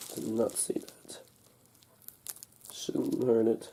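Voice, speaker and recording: A man at a very slow pace with big swings in loudness, amid noticeable background noise. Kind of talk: casual unboxing talk to camera. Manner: hesitant, halting.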